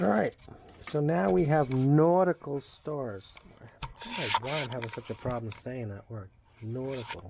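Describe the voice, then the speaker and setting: With a Long Island accent, a man speaks at a medium pitch and moderate pace with lively intonation. His loudness swings widely, and background noise is noticeable. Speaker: craftsman / DIY maker. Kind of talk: workshop tutorial narration. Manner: casual, halting with repetitions.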